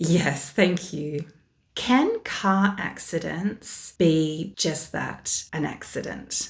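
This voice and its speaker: With a somewhat breathy voice at a fairly low pitch, a woman speaks very slowly. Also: ordinary pitch variation. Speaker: spiritual diviner. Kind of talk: casual talk to camera.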